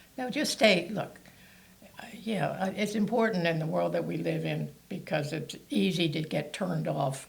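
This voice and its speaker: The pace is moderate. There is audible room echo. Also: woman. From Maryland (Towson). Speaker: former mayor. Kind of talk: interview. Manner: halting.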